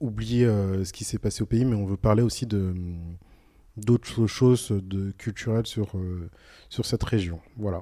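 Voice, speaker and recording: Fairly low in pitch, a man speaks slowly with long, frequent pauses. His tone is dark and mellow, and the recording is very clean with a silent background. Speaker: podcaster. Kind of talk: casual chat. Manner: animated.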